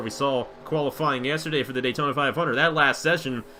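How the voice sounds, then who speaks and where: A man's voice sits fairly high. Music runs in the background behind him. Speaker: sim racing commentator. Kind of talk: live commentary. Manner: fast.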